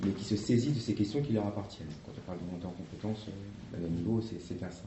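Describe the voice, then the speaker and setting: A man at a fairly low pitch, fairly quick and somewhat breathy, with ordinary pitch variation and audible room echo. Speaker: association representative. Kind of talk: workshop presentation with discussion. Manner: fast; hesitant, many fillers.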